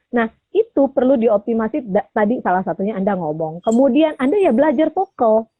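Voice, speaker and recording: The voice is loud, with very wide pitch swings and a fairly quick pace. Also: woman, fairly high pitch for a woman, hardly any pauses. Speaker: voice coach. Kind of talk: radio talk show interview. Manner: loud, energetic.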